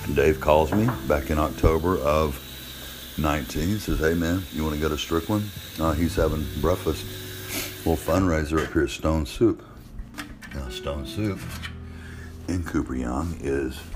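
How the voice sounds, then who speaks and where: Pausing long and often, a man with an American accent and a very deep, low pitch talks at a moderate pace with ordinary pitch variation, amid noticeable background noise and audible room echo. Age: 60s. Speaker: podcaster. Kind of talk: casual monologue.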